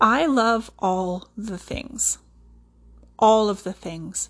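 In a Canadian accent, a woman speaks very slowly at a medium pitch with ordinary pitch variation. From central Alberta, Canada. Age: 30s. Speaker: podcast host, respiratory therapist and yoga teacher. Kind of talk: solo podcast monologue.

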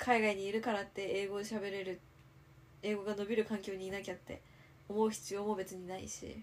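Over noticeable background noise, a woman talks at a fairly quick pace. Her medium-pitched voice stays flat and monotone. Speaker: podcast co-host. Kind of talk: casual chat.

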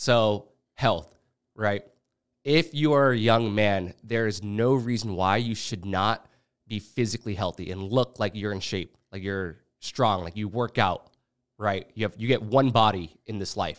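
There is a very clean recording with a silent background. A man speaks at a fairly low pitch in an ordinary speaking voice. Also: ordinary pitch variation, fairly slow pace. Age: 20s. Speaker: podcast host. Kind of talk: casual chat.

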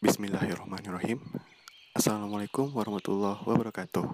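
A man speaks in a fairly low voice. He talks very fast. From Indonesia, West Sumatra (Bukittinggi). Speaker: student podcaster. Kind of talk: casual monologue introduction. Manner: a bit stiff.

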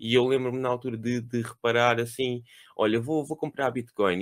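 An unremarkable speaking voice comes through with a dry, close sound and no echo. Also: man. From Lisbon, Portugal. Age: 30s. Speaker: podcast co-host. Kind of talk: casual chat.

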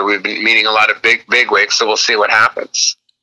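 A man speaks at a very fast pace with a General American accent. The sound is dry and close, with no echo. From Los Angeles. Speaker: actor and comedian. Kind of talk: interview.

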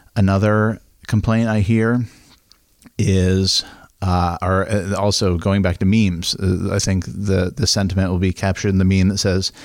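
In an American accent, a man with a plain, everyday voice speaks at a fairly slow pace with fairly even intonation. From Maine, US (Midcoast). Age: 30s. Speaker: local business owner and school board member. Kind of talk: casual chat.

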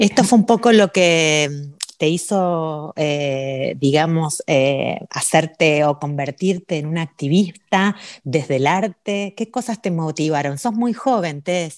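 A woman with a Rioplatense accent speaks very slowly in a fairly low voice, her intonation lively against a quiet background. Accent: Argentine Spanish (rioplatense, voseo). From Argentina. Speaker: radio host. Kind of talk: casual radio interview. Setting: remote call.

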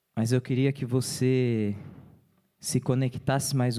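Dark and mellow in tone, a man speaks at a medium pitch and a fairly slow pace. The recording is very clean, with a silent background. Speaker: deacon preaching. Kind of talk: sermon. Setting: church.

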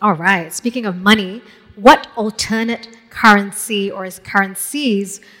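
At a fairly slow pace, a woman with a plain, everyday voice talks with ordinary pitch variation. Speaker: moderator. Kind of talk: fireside chat. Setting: stage with audience.

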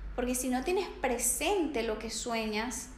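Over noticeable background noise and audible room echo, a woman talks fairly slowly at a high pitch. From Venezuela. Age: 20s. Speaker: psychologist and life coach. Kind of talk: interview.

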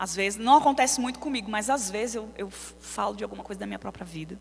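The speaker sounds animated and moves at a fairly quick pace. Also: woman. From São Paulo, Brazil. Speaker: preacher. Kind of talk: sermon. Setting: church.

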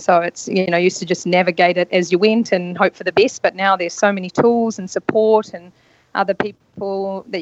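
The speech moves at a fairly quick pace in a flat, monotone intonation, with a New Zealand accent. The sound is dry and close, with no echo. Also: woman. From New Zealand, rural North Island. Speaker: yacht stewardess and spa therapist. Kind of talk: casual interview.

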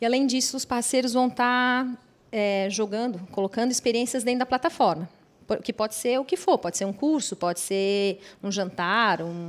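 Intonation is lively, over an unremarkable speaking voice. The pace is moderate. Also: woman, fairly high pitch for a woman. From Blumenau, Santa Catarina, Brazil. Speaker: app co-founder. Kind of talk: podcast interview.

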